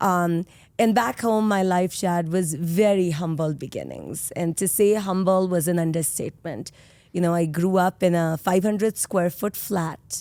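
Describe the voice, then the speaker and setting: A woman with a dark, mellow tone and a fairly low pitch talks at a fairly slow pace with fairly even intonation. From India, Mumbai. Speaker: solar industry executive. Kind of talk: podcast interview.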